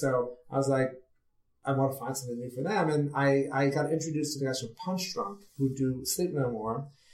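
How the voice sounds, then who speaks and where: Using an unremarkable speaking voice, a man talks at a moderate pace and fairly high pitch with ordinary pitch variation. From New York City. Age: 50s. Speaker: theater producer and playwright. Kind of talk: interview.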